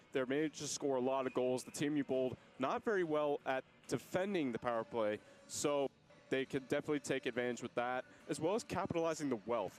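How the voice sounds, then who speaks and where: Over music in the background, a man with a medium pitch speaks at a very fast pace with ordinary pitch variation. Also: dry, close sound with no echo. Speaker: sports commentator. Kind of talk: hockey play-by-play commentary.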